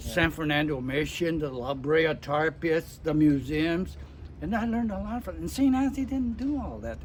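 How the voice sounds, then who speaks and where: A man speaks with an American accent at a moderate pace. Noticeable background noise runs underneath. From Santa Monica, California. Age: 80s+. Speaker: WWII veteran. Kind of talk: interview answer.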